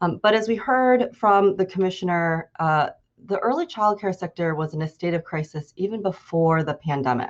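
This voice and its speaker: The speaker is a woman at a medium pitch. She uses lively intonation. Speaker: policy advocate. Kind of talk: presentation with slides. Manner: fast.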